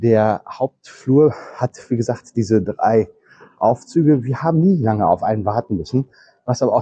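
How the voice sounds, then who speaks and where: Dark, mellow male voice with ordinary pitch variation. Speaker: travel vlogger. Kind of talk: walking tour commentary. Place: hall. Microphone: lapel.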